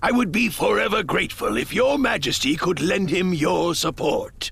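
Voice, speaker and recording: Someone does a put-on character voice at a moderate pace with very even loudness. Light background noise can be heard. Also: man, high pitch for a man. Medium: game stream. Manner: formal, measured.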